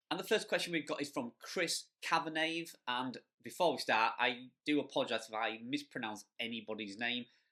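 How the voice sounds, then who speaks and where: In a strong Yorkshire accent, a man speaks at a moderate pace with hardly any pauses, a medium pitch, lively intonation and a bright, sharp tone, on a very clean recording with a silent background. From Yorkshire, northern England. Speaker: blogger and affiliate marketing youtuber. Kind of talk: Q&A video answering viewer questions. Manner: casual, conversational.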